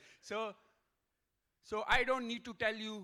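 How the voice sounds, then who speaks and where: A man speaks in a raised, projected voice with a bright, sharp tone. His pace is fairly slow. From Pakistan. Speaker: professor giving a keynote talk. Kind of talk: conference keynote lecture. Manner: loud.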